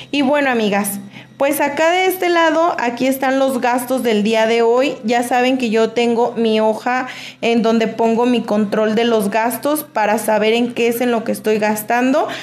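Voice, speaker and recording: Over light background noise, a woman speaks at a fairly slow pace. Her pitch is high, with ordinary variation. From Mexico. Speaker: homemaker vlogger. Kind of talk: casual vlog talk to viewers. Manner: chatty, with many fillers. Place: home room. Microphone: phone near.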